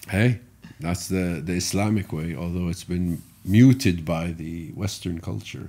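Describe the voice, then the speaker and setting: A man's very deep, low voice in an Arabic accent, dark and mellow in tone, with ordinary pitch variation and a fairly slow pace. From Saudi Arabia. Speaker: car rally driver. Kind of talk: casual chat.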